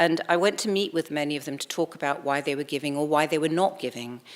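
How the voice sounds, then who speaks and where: A woman with an American accent talks at a very fast pace, her pitch varying in an ordinary way. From California, then UK and Australia. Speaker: higher education fundraising leader, lecturer. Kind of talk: lecture.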